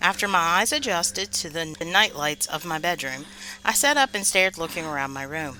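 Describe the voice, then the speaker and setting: A woman's fairly low voice, bright and sharp in tone, with lively intonation and a fairly quick pace. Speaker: horror podcast host. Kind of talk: scary story narration.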